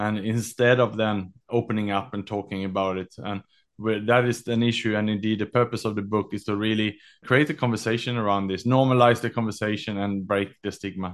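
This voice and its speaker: A man with a fairly low voice talks at a fairly quick pace in a flat monotone. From Sweden. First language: Swedish. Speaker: author and executive mental health advocate. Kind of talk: interview. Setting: remote call.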